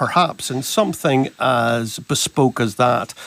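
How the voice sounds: In a Northern Irish accent, a man speaks at a fairly slow pace with a fairly bright tone.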